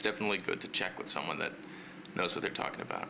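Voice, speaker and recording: A man's voice over noticeable background noise. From Netherlands. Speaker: streamer. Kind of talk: casual chat. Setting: live stream.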